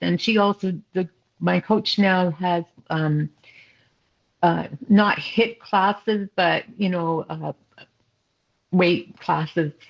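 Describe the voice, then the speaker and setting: A woman speaks at a very slow pace with long, frequent pauses and a fairly low pitch. Her intonation is fairly even, and the sound is dry and close with no echo. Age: 70s. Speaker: triathlete, retired midwife. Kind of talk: interview answer.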